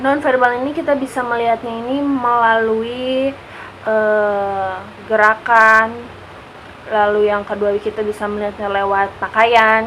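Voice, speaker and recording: A woman has an unremarkable speaking voice, fairly high in pitch, with fairly even intonation at a fairly slow pace. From Jakarta, Indonesia. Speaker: university student. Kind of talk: class assignment vlog presentation.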